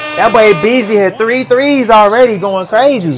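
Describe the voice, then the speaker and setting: A man keeps a moderate pace while noticeable background noise fills the clip. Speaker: sports reaction YouTuber. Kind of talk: casual play-by-play reaction commentary over game highlights. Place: home room. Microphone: webcam.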